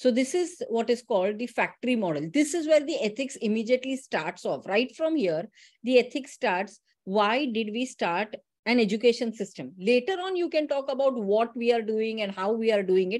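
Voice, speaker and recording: This woman's voice sits at a fairly high pitch. Her intonation is lively. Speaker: teacher educator giving a session. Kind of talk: online lecture. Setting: online session. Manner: fast; passionate.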